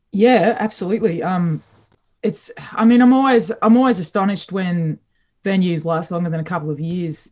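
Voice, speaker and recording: A woman's somewhat breathy, medium-pitched voice in an Australian accent, at a moderate pace. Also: ordinary pitch variation. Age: 40s. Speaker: singer-songwriter. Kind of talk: interview. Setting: remote call from home.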